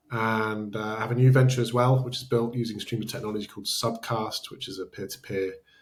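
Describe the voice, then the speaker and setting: Speaking very fast with hardly any pauses, a man with a British accent keeps a monotone, flat intonation at a medium pitch while his loudness swings widely. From Britain. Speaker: startup founder. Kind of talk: interview.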